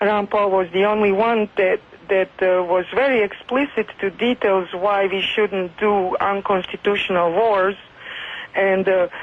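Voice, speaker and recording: A woman with a non-native accent talks over noticeable background noise. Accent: foreign. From Serbia. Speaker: local resident and activist. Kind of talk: radio interview. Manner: halting, many fillers.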